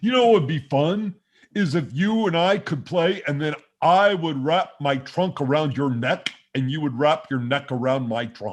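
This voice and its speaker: Using a put-on character voice, a man speaks with a cheerful tone at a fairly high pitch and a moderate pace. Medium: game stream. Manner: cheerful, simple.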